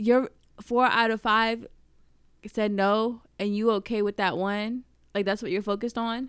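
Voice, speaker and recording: A woman with an American accent speaks fairly slowly in a fairly high, flat monotone, leaving long, frequent pauses. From Virginia. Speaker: podcast co-host. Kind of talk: casual chat.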